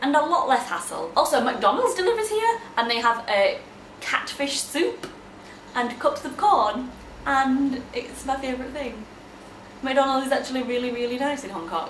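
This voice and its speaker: Noticeable background noise sits behind a woman with a high pitch speaking at a moderate pace. Her pitch swings very widely. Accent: Yorkshire. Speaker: kindergarten teacher. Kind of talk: casual vlog talk to camera.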